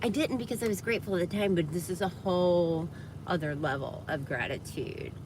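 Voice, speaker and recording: With an American accent, a woman with a fairly low pitch and somewhat breathy voice speaks at a fairly quick pace with lively intonation, her voice carrying audible room echo. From US South, Georgia (Atlanta area). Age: 50s. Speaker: livestreamer. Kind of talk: casual livestream chat.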